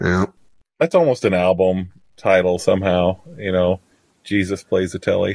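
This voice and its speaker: A man's very deep, low voice with an American accent, monotone and flat, in a dry, close sound with no echo. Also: moderate pace. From Missouri. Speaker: podcast co-host. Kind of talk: casual chat.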